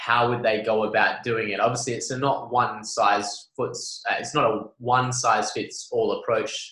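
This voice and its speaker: A man speaks with an Australian accent. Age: 20s. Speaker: podcast host. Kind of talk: casual chat.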